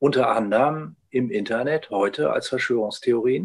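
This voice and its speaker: Lively intonation marks a man's medium-pitched speech at a moderate pace. He has an unremarkable speaking voice. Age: 60s. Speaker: ethnologist, retired professor. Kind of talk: interview conversation. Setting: video call.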